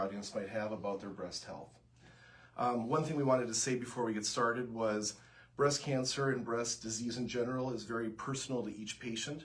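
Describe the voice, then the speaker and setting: With a Minnesotan accent, a man with a medium pitch and fairly even intonation speaks at a moderate pace amid noticeable background noise and audible room echo. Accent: Minnesota. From US Upper Midwest, Minnesota. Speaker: breast surgeon. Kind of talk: health information livestream Q&A. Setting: Facebook Live broadcast.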